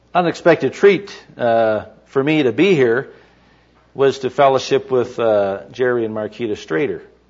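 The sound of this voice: A man speaks at a medium pitch with a slightly mellow tone. His pace is fairly slow. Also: ordinary pitch variation.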